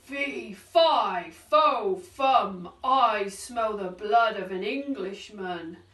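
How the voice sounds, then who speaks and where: A loud, rumbling, shouted put-on character voice at a very slow pace, with audible echo. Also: woman, medium pitch for a woman. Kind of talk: story reading. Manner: shouting loudly, menacing.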